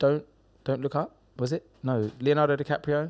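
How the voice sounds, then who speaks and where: A man with an English accent, fairly high pitch and ordinary pitch variation, talking at a fairly quick pace over music in the background. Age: 30s. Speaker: comedian and social media personality. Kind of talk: casual chat. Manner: animated.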